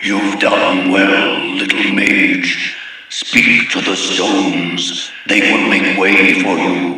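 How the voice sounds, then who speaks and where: Speaking very slowly in a put-on character voice, a man pitches himself fairly low amid strong echo. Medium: read story.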